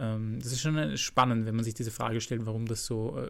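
A man with an ordinary speaking voice, medium pitch, ordinary pitch variation and a fairly quick pace. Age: 20s. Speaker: physiotherapist and personal trainer. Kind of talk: expert interview.

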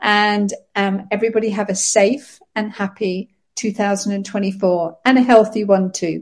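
A woman with a British accent speaks at a fairly slow pace and a medium pitch, somewhat breathy. Her intonation is monotone and flat, against a quiet background. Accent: non-Scottish British English. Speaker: pet sitter and community manager. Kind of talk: casual chat. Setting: remote call from Scotland.

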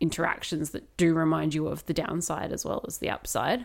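A woman with an unremarkable speaking voice talks at a moderate pace in a fairly low pitch, on a very clean recording with a silent background. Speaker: podcast co-host. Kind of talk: casual chat.

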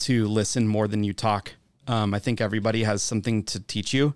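A man's monotone, flat delivery in a very clean recording with a silent background. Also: dry, close sound with no echo. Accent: American. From Wisconsin, US Midwest. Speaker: bartender and bar manager. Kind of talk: casual interview chat. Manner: hesitant, many fillers and repeated words.

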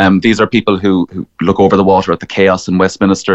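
Very deep and low in pitch, a man with an Irish accent talks at a very fast pace in a dry, close sound with no echo. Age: young. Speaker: political campaigner. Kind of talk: radio interview.

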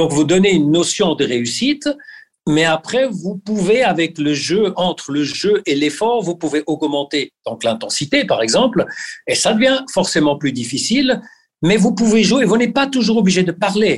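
A man with a high voice for his sex talks at a moderate pace, his pitch swinging very widely while his loudness stays very even. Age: 60s. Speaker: fitness coach for athletes. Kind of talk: interview. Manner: hesitant with repeated words.

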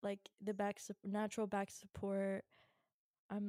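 The voice has a dark, mellow tone and an American accent, moving at a fairly slow pace. The sound is dry and close, with no echo. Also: woman. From Virginia, US. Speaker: podcast co-host. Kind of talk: casual chat. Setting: home studio, hosts sitting apart. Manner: casual, lots of laughing and fillers.

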